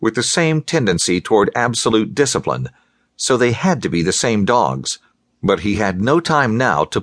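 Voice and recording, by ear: Reading aloud in a natural voice against a quiet background.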